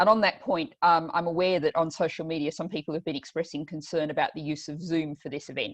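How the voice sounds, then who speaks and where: Speaking at a very fast pace with hardly any pauses, a woman with an Australian accent uses a fairly low pitch and ordinary pitch variation. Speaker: politician and event host. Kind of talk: online panel introduction. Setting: video call.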